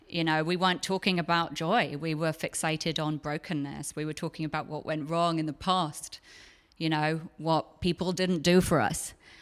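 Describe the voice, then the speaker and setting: Her pitch is very deep and low for a woman. She speaks with an English accent in a monotone, flat way. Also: moderate pace, very clean recording, silent background. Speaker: psychotherapist and podcast host. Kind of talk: live onstage conversation. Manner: clear enunciation.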